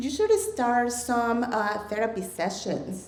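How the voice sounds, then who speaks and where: Amid noticeable background noise and audible room echo, a woman with a Mexican accent speaks fairly slowly at a fairly high pitch. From Mexico. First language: Spanish. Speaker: storyteller, ESL educator. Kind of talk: live storytelling. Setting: stage with audience.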